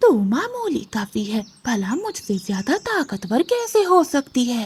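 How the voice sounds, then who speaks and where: A cartoonish character voice, female-sounding and high, with very wide pitch swings at a fairly slow pace. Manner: boastful, threatening.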